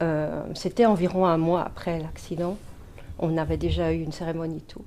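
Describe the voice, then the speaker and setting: There is audible room echo around a woman's voice. Her loudness swings widely. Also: moderate pace. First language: Dutch (speaking French). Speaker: mediumship student. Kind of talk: testimony.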